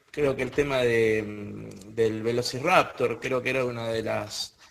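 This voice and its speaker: Someone with an Argentine accent speaks at a very slow pace. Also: man. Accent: Argentine Spanish (voseo). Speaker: panel guest on paranormal talk show. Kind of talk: casual panel discussion. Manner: halting, many fillers and repetitions.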